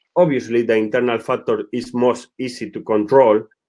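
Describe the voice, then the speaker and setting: At a fairly slow pace, a man with a Spanish accent talks at a medium pitch. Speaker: football director. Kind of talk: webinar presentation. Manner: halting.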